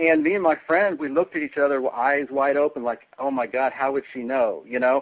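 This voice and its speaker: A man with an American accent talks at a fairly quick pace in a plain, everyday voice, pitched fairly high for a man. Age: 40s. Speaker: interviewee. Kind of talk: interview.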